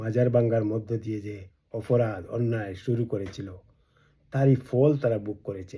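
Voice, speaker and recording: A dark, mellow, somewhat breathy voice with fairly even intonation, on a very clean recording with a silent background. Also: man. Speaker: political activist and video blogger. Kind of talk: political speech to camera. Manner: emphatic, rhetorical.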